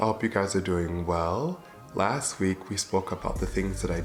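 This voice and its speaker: With music in the background, a man with a very deep, low pitch talks at a moderate pace, his pitch swinging very widely. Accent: American. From Michigan, USA. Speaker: vlogger. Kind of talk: casual talk to camera.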